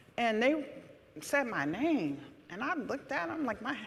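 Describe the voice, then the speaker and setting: Loud and with an American accent, a woman speaks at a moderate pace with very wide pitch swings. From New Haven, Connecticut. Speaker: city alder. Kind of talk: panel discussion. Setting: stage with audience. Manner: loud, projecting.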